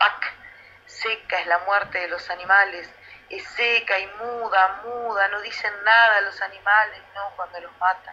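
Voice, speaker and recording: A woman with a Rioplatense accent speaks at a fairly slow pace in a monotone, flat intonation, her loudness swinging widely over noticeable background noise. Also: medium pitch for a woman. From Uruguay. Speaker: poet. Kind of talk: poet reading her own verse aloud. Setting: radio interview, remote. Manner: measured, slow, contemplative, lyrical.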